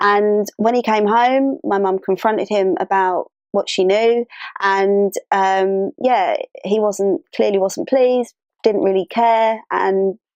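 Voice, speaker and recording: A woman's medium-pitched voice in a London accent, with ordinary pitch variation. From London, England. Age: 30s. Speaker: interviewee sharing identity story. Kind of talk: personal testimony. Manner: hesitant, many fillers.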